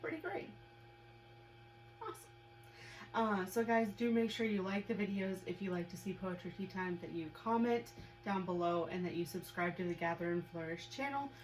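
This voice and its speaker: With an American accent and ordinary pitch variation, the speaker holds a moderate pace broken by long, frequent pauses against noticeable background noise. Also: woman, medium pitch for a woman. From US Midwest. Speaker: web show co-host. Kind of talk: casual chat.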